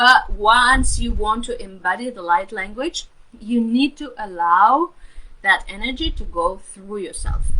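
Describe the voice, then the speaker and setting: Her loudness swings widely as this woman, with a non-native accent, speaks at a fairly slow pace and a fairly high pitch. Noticeable background noise runs under the recording. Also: lively intonation. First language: not English. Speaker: spiritual healer and mentor. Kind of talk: live stream talk. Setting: live stream. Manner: hesitant, many fillers.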